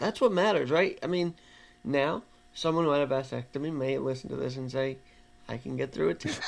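Speaking at a fairly quick pace, a man with a fairly high pitch and lively intonation has a plain, everyday voice. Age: 20s. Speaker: podcast host. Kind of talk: casual chat. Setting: video call.

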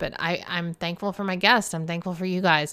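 Bright and sharp in tone, a woman with a Southern US accent talks at a moderate pace. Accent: Southern American. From US South. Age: 50s. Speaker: podcast host. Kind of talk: casual monologue. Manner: laughs often.

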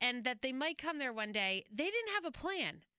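Raising and projecting her high voice, a woman speaks at a fairly slow pace with a bright, sharp tone and very wide pitch swings. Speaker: co-host. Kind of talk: casual chat about a TV show.

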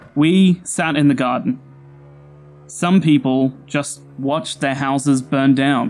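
A man's fairly high-pitched voice at a very slow pace, with music in the background. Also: ordinary pitch variation. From Australia, Sydney. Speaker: storyteller. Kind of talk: scripted narration.

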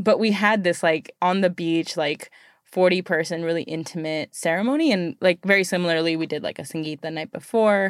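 A woman's unremarkable speaking voice, fairly low in pitch, with ordinary pitch variation, a fairly quick pace and hardly any pauses, on a very clean recording with a silent background. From United States. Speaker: podcast host. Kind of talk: casual interview.

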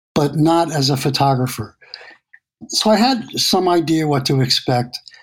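With an American accent, a man speaks at a moderate pace in a plain, everyday voice. His pitch sits fairly high, and his intonation is lively. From New York City. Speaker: landscape photographer. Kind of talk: interview.

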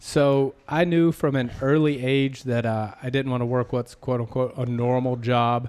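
Speaking at a fairly slow pace, a man barely pauses. His medium-pitched voice keeps a fairly even intonation. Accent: slight Southern US. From US South. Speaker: podcast host. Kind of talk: casual interview.

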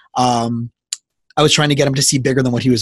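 Somewhat breathy in quality, the voice moves through its pitch in an ordinary way. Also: man. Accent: American. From South Florida. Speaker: podcast host and therapist. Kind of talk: casual interview.

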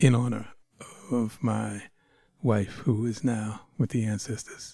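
A man's somewhat breathy, dark and mellow voice at medium pitch, with ordinary pitch variation, a very slow pace and an American accent. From Boston area. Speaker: writer with a doctorate, podcast guest. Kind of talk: interview conversation.

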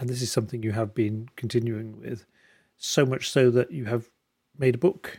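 A man with a medium pitch and a dark, mellow, somewhat breathy tone talks at a moderate pace with ordinary pitch variation. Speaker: podcast host. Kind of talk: casual interview.

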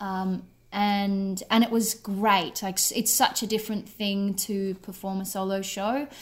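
A woman with an Australian accent, medium in pitch and somewhat breathy, speaking at a fairly slow pace in a monotone, flat intonation with hardly any pauses, on a very clean recording with a silent background. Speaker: writer and actor. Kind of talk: casual radio interview. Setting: radio interview by call.

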